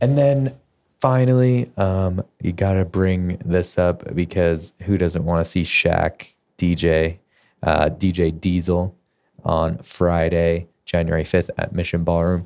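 This man's voice is very deep and low, delivered at a very slow pace with ordinary pitch variation and very even loudness. The recording is very clean, with a silent background. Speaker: podcast co-host. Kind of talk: casual chat.

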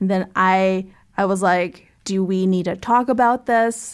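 On a very clean recording with a silent background, a woman with an American accent and an unremarkable speaking voice talks at a medium pitch with fairly even intonation. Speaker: podcast host. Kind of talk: casual interview.

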